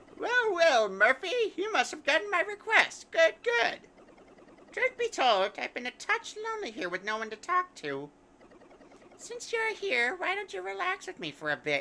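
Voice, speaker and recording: In a put-on character voice, a woman sounds squeaky and strained at an extremely high pitch, with very wide pitch swings, big swings in loudness and a moderate pace. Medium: game stream. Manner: rambling, digressive.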